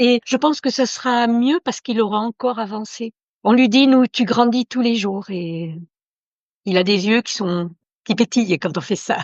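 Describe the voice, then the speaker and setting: Here a woman talks at a moderate pace. Her pitch shows ordinary variation. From Italy. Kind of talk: interview. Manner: halting.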